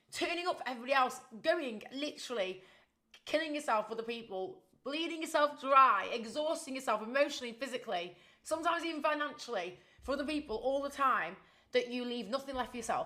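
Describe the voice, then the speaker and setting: A woman's raised, projected voice, high in pitch, with lively intonation at a very fast pace. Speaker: fitness and fat loss coach, podcast host. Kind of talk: solo podcast monologue. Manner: animated.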